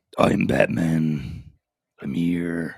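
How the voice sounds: A man uses a put-on character voice. It is gravelly and very deep in pitch.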